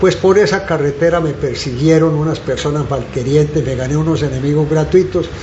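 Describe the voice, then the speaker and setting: A man's fairly high voice at a fairly quick pace, with ordinary pitch variation, hardly any pauses, audible room echo and noticeable background noise. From Colombia, Santander (Zapatoca). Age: 70s. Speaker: former politician and journalist. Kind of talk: interview, reminiscing. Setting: café.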